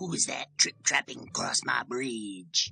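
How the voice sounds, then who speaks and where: A put-on character voice, raspy and low, speaks. Its pace is fairly slow. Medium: read story. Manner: firm, wary.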